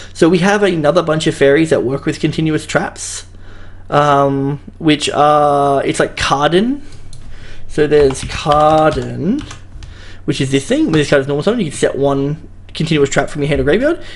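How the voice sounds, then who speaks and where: A speaker with an Australian accent, heard over noticeable background noise. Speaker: card game YouTuber. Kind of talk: casual commentary video. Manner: fast; casual, hesitant.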